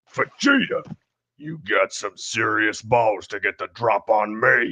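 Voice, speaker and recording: Doing a cartoonish character voice, a man growls his words at a fairly slow pace. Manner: crude, mocking.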